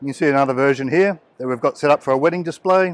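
With ordinary pitch variation, a man talks at a fairly quick pace in a dry recording with no echo. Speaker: product seller at stand. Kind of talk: product demonstration. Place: hall. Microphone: phone near.

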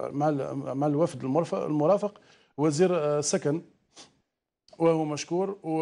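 The voice has a dark, mellow tone and fairly even intonation. It moves at a fairly slow pace with long, frequent pauses. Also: man, fairly high pitch for a man. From Algeria. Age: young. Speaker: business association representative; TV guest. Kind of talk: live TV panel debate. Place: studio. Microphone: lapel.

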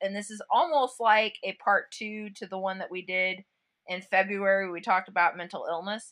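Her loudness swings widely while her intonation stays fairly even, as a woman with a plain, everyday voice talks at a medium pitch. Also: moderate pace. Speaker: podcast co-host. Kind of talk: casual chat.

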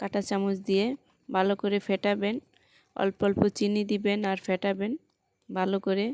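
A woman delivers her words at medium pitch in a monotone, flat intonation, with very even loudness, captured in a dry, close sound with no echo and a very clean recording over a silent background. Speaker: home cooking video creator. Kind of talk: cooking tutorial. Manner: halting, pausing often.

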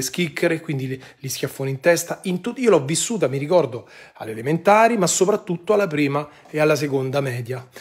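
A somewhat breathy man talking at a very fast pace over a quiet background. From Rome, Italy; Italy. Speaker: online commentator. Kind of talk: live-stream monologue. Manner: animated. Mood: indignant, earnest. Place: home room. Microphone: phone near.

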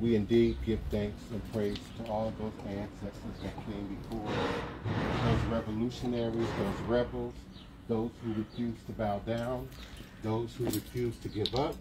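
Loud background noise sits behind a man speaking at a moderate pace. His pitch variation is ordinary. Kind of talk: invocation speech. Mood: solemn, measured. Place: street. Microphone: camera far.

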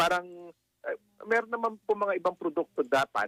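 There is no echo on this man's voice. It sounds dry and close. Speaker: economist. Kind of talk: radio interview.

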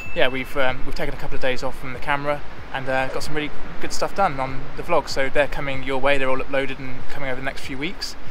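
A man rushes along at a very fast pace in monotone, flat intonation, with noticeable background noise behind him. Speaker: travel vlogger. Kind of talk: casual vlog chat. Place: beach. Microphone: phone near.

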